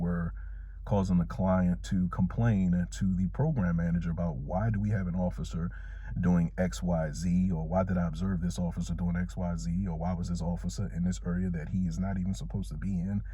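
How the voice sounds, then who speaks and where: In an American accent, a man speaks at a moderate pace with a very deep, low pitch and lively intonation. Noticeable background noise and audible room echo fill the recording. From Washington DC (Southeast). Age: 40s. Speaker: security officer, vlogger. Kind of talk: storytime vlog.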